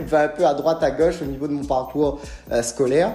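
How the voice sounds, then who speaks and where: With music in the background, a man talks at a moderate pace in a fairly high pitch and a Réunion accent. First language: Réunion Creole (speaking French). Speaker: entrepreneur YouTuber. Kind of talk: casual personal storytelling. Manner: hesitant, many fillers.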